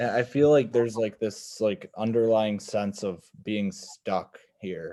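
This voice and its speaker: A man with a Wisconsin accent speaks at a fairly slow pace. His voice is fairly low, dark and mellow, with ordinary pitch variation. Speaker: podcast host. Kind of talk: casual chat. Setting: video call.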